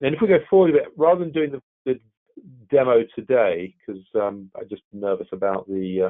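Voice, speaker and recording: A man with a British accent speaks at a fairly quick pace with lively intonation. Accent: British accent, noticeable. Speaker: technology expert. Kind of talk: webinar presentation. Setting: online webinar. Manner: halting, many repetitions.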